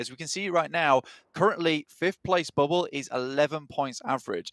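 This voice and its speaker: A man with a fairly high pitch speaks at a moderate pace in an unremarkable speaking voice. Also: dry, close sound with no echo. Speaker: esports commentator. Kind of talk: live commentary.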